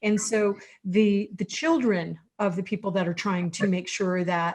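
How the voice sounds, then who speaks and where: A woman's voice, somewhat breathy and at a medium pitch, unfolds fairly slowly with ordinary variation in pitch. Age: 60s. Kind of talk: online panel discussion.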